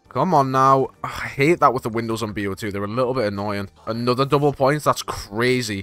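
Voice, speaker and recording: A man talks at a fairly quick pace with ordinary pitch variation against noticeable background noise. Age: young. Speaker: gaming youtuber. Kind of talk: gameplay commentary. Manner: fast; animated.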